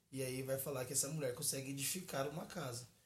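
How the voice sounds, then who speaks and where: Here a man speaks at medium pitch and a fairly quick pace. His pitch varies in an ordinary way, and audible room echo is present. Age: 20s. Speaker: pastor. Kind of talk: casual chat.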